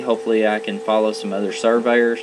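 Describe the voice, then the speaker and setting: Against noticeable background noise, a man speaks at a medium pitch with an American accent. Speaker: land surveyor. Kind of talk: educational podcast narration. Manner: halting, many fillers.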